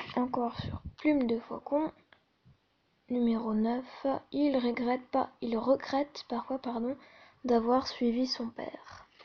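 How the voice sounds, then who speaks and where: Soft-spoken and high-pitched, a woman talks very slowly in a flat monotone, with long, frequent pauses. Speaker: fan video creator. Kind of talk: casual fan trivia list reading. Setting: at home at night, others sleeping.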